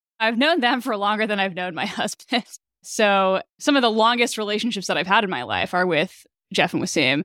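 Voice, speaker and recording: Bright and sharp in tone, a woman talks at a fairly quick pace with a medium pitch and lively intonation. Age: 30s. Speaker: startup co-founder and CTO. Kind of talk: interview.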